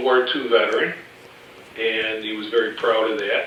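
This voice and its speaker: Against noticeable background noise and audible room echo, a man with an American accent speaks fairly slowly at a medium pitch with ordinary pitch variation. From Chicago, west side. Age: 50s. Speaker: family member interviewed. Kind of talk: family oral history interview. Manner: hesitant, many fillers.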